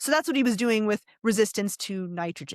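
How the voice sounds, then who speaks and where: A fairly high-pitched woman at a very fast pace, with an animated tone and lively intonation, in a dry, close sound with no echo. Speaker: evolutionary biologist. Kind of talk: podcast discussion.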